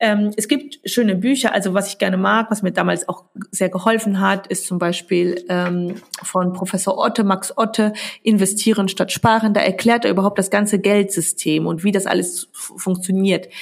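With an ordinary speaking voice, a woman speaks at a medium pitch and moderate pace, her intonation fairly even. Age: 30s. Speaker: biochemist and stock investing educator. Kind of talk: podcast interview.

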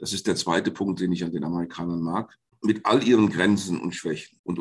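A man's very deep, low voice over a quiet background. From Germany, Fulda (Hesse). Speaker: Jesuit priest and philosophy professor. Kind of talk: interview.

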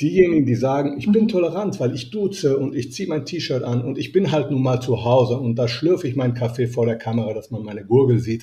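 A man's medium-pitched voice at a very fast pace, with lively intonation and hardly any pauses. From Italy (Rome). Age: 50s. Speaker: business etiquette coach. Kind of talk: interview.

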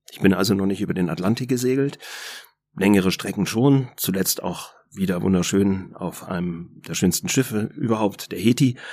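A man with an unremarkable speaking voice talks at a moderate pace, his pitch varying in an ordinary way, in a very clean recording with a silent background. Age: 50s. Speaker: entrepreneur, former banker. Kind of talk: podcast interview.

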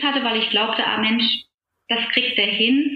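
A woman speaks with fairly even intonation amid audible room echo. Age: 40s. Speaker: coaching client, health insurance advisor. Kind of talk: personal coaching conversation. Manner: hesitant, many fillers.

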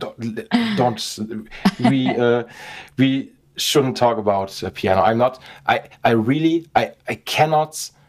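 A man with a German accent at a medium pitch, ordinary pitch variation, a very slow pace and long, frequent pauses. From Germany (Essen, western Germany). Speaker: podcast host, guitar repairer. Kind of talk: casual interview chat. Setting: repair shop cellar. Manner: halting, many fillers and repetitions.

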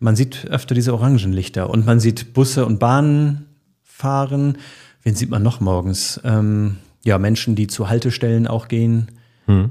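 A man's dark, mellow voice at medium pitch, fairly even in intonation, at a fairly slow pace. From Bremen, northern Germany. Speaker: radio morning show host. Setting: podcast studio.

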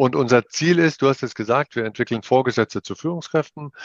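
A plain, everyday voice carries lively intonation. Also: man. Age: 50s. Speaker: leadership trainer, business owner. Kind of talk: interview. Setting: video call.

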